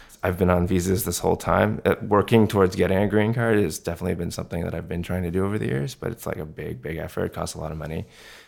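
A man with a very deep, low pitch and vocal fry talks at a very fast pace with ordinary pitch variation. The recording is very clean, with a silent background. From Canada, Vancouver. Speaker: design lead. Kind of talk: interview conversation. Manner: casual, hesitant with many fillers.

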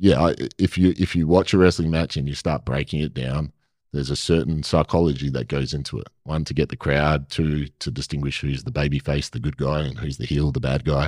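Speaking at a fairly quick pace in an Australian accent, the voice carries vocal fry and ordinary pitch variation, recorded dry and close with no echo. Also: man. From Perth, Western Australia. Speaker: actor and former pro wrestler. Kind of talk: casual interview chat.

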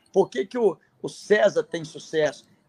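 A man's voice, dry and close, with no echo. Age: 50s. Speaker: prep course teacher. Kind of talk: casual chat.

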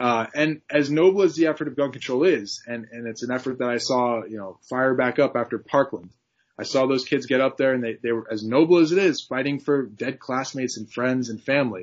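In a normal speaking voice, a man with an American accent talks at a medium pitch with ordinary pitch variation. His pace is fairly quick, with hardly any pauses. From Connecticut. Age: young. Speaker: political candidate. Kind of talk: interview.

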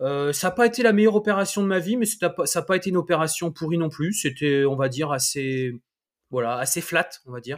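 The man's voice is high-pitched. He keeps to a moderate pace. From France, Le Mans. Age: 40s. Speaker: entrepreneur and property investor. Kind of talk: interview.

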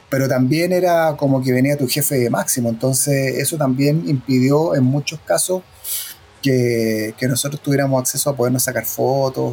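At a moderate pace, the voice holds very even loudness and ordinary pitch variation against noticeable background noise. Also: man. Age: 50s. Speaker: former record label press officer. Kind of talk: interview.

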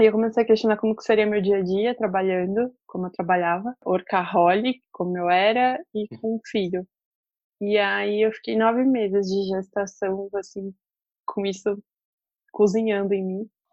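Speaking at a moderate pace, a woman with a normal speaking voice keeps a medium pitch and fairly even intonation. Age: 30s. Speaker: journalist and mother. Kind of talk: casual interview.

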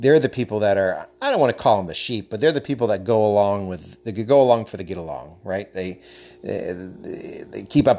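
A man speaks in a normal speaking voice. His pitch sits fairly low. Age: 30s. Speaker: podcast host. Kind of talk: solo commentary podcast.

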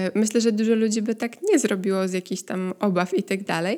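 On a very clean recording with a silent background, a woman talks very fast at a fairly high pitch with ordinary pitch variation. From Poland. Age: 30s. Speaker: podcast host. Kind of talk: casual solo monologue. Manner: conversational, many filler sounds.

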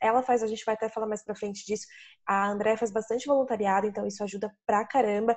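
A woman with a fairly high pitch talks at a very fast pace, her intonation fairly even. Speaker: travel podcast host. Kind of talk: casual interview.

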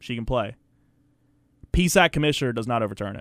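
Talking at a very fast pace, a man of medium pitch speaks with an American accent. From Virginia. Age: 20s. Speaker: basketball commentator. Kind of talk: casual sports talk. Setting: radio studio.

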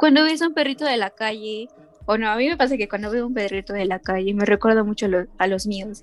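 A woman's fairly high voice at a very fast pace. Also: ordinary pitch variation. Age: 20s. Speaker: university student. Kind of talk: casual chat. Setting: call. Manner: animated.

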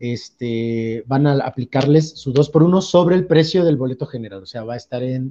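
A man with a fairly high pitch and a dark, mellow tone speaks at a fairly slow pace. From Veracruz, Mexico. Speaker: theatre director. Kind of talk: interview. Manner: hesitant, many fillers.

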